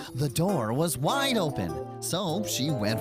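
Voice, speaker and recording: A cartoonish character voice performs the lines. Clear music plays in the background. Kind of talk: children's bedtime story. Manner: warm, giggly.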